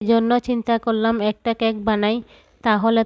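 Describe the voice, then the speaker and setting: A woman speaks at a fairly high pitch. The recording is very clean, with a silent background and a dry, close sound with no echo. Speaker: cooking vlogger. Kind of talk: vlog narration.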